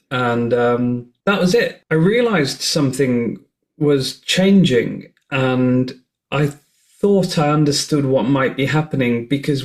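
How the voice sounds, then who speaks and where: A man with a British accent at a very slow pace. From northern England. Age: 40s. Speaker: nonprofit CEO, online hate campaigner. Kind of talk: podcast interview.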